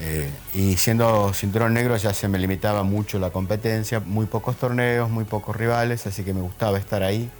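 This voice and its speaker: Over music in the background, a man speaks at a fairly low pitch with fairly even intonation and hardly any pauses. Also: moderate pace. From Argentina, Santiago del Estero. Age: 60s. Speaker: judo master. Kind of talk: interview. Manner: halting with fillers.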